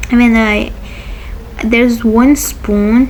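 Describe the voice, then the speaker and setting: There is audible room echo around this woman's voice. Noticeable background noise is also present. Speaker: youtuber. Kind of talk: casual vlog talk. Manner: rambling, halting with false starts.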